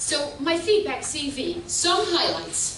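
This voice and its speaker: A woman's raised, projected, high-pitched voice with a Dutch accent and lively intonation, amid audible room echo and noticeable background noise. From Netherlands. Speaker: professor. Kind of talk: keynote lecture. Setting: conference stage with audience. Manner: animated.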